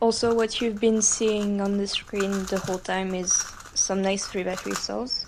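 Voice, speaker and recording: A woman speaks with monotone, flat intonation. Noticeable background noise runs under her voice. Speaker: speedcuber. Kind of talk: casual voiceover to viewers.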